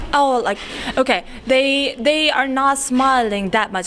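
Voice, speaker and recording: A woman with a non-native accent speaks at a fairly slow pace with lively intonation over noticeable background noise. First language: not English. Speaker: international student. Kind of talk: interview.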